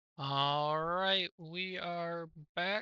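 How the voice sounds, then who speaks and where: A man speaks with a high pitch. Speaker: gaming streamer. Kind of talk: casual chat. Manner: halting.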